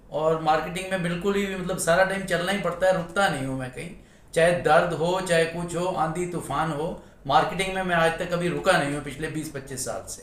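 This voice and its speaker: A man's high-pitched voice with audible room echo. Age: 60s. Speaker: salesman, customer giving testimony. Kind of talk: testimony.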